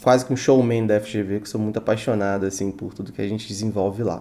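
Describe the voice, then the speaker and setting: Fairly low in pitch, a man talks with monotone, flat intonation. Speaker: university student. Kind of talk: podcast interview.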